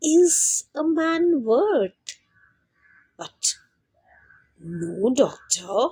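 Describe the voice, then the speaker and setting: A woman does a put-on character voice at a high pitch with very wide pitch swings. She goes at a very slow pace with long, frequent pauses, and the sound is dry and close with no echo. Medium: read story.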